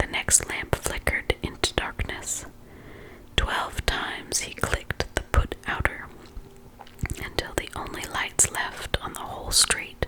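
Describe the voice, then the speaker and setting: Through clearly audible background noise, a female speaker whispers somewhat slowly. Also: big swings in loudness. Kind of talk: whispered ASMR audiobook reading. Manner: whispered, soft, calming.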